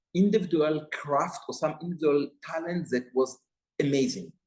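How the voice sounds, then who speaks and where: A man with an Israeli accent speaks at a fairly high pitch. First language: Hebrew. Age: 60s. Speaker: television executive. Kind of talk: interview. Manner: halting.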